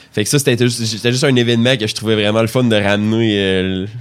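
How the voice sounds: A man talks at a fast pace. His fairly low pitch carries fairly even intonation.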